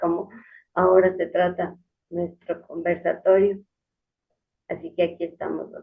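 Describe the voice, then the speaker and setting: Speech comes at a fairly slow pace with long, frequent pauses, a monotone, flat intonation, and big swings in loudness. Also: woman, fairly low pitch for a woman. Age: 60s. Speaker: patient, homemaker. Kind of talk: testimony.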